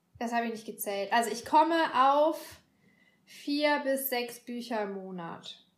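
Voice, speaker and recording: In a very clean recording with a silent background, a woman with a high pitch talks at a fairly slow pace, showing ordinary pitch variation and big swings in loudness. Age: 30s. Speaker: bookshop worker. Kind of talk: casual chat.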